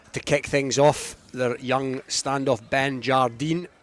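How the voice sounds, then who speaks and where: Music plays in the background. A man at medium pitch speaks in a monotone, flat intonation. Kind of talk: live rugby match commentary. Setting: rugby ground, live radio broadcast.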